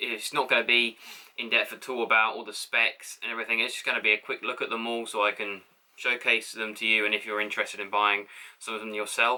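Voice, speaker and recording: Very fast and flat in intonation, a man with an English accent speaks at a medium pitch with big swings in loudness. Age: young. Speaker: carpenter. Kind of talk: casual tool review to camera. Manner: hesitant, casual.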